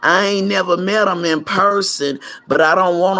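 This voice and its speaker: With a bright, sharp tone and vocal fry, a woman speaks in an animated way at a fairly slow pace. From South Central Los Angeles. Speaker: YouTuber, pastor's wife. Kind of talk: casual livestream monologue. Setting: at home.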